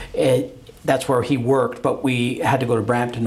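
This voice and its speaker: A man speaks with a Canadian accent at a medium pitch and a fairly quick pace. Noticeable background noise runs underneath. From Calgary, Canada. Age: 60s. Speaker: lawyer and TV reality show co-host. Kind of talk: casual interview conversation. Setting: law firm boardroom.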